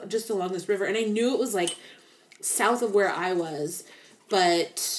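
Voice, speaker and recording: Here a woman uses a normal speaking voice at medium pitch. She moves at a moderate pace. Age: 30s. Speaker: true crime podcast co-host. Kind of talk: casual chat.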